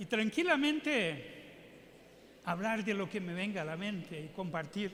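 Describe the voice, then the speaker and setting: A man's high-pitched speech carries audible room echo. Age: 60s. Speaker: public health physician and adviser. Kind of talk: keynote lecture Q&A. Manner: halting, with repetitions.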